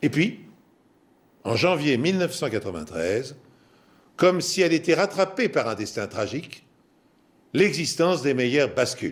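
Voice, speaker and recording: With vocal fry and a fairly high pitch, a man speaks fairly slowly, his pitch swinging very widely between long, frequent pauses. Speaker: TV presenter and storyteller. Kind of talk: true crime documentary presentation.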